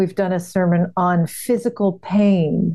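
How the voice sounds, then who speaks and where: With an American accent, a woman speaks in a dark, mellow tone at a fairly low pitch, varying it in an ordinary way. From US Northeast, New England. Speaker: podcast host. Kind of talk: casual chat.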